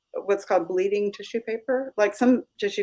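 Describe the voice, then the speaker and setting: A woman with an American accent. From California, US. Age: 60s. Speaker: artist and oracle deck creator. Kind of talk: casual interview chat. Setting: live video stream.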